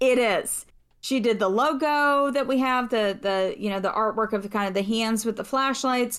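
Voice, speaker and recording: A woman's unremarkable speaking voice, fairly high-pitched, at a moderate pace with ordinary pitch variation, in a very clean recording over a silent background. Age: 30s. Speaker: podcast voice actor and writer. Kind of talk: casual chat.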